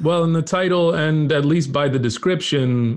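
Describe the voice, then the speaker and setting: A man speaks with an unremarkable speaking voice and ordinary pitch variation. The background is quiet. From Texas. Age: 30s. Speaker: TV comedy writer. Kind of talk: casual chat.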